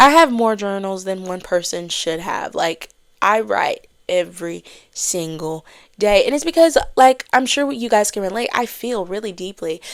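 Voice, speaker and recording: A woman speaks at a moderate pace with a medium pitch, an animated tone and lively intonation. The recording is very clean with a silent background. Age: 20s. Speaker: podcast host. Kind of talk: casual chat.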